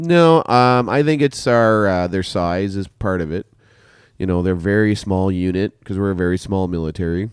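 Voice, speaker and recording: A man's very deep, low voice with a Canadian accent, ordinary pitch variation and a moderate pace, on a very clean recording with a silent background. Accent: stereotypically Canadian. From Canada. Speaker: podcast host, military veteran. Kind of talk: casual chat.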